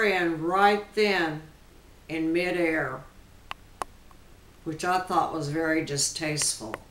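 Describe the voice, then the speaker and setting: Over noticeable background noise, someone talks very slowly. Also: woman, long, frequent pauses. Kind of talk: interview answer.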